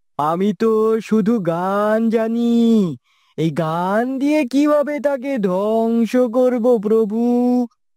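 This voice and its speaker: A cartoonish character voice at a very slow pace with a fairly high pitch. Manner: meek, deferential.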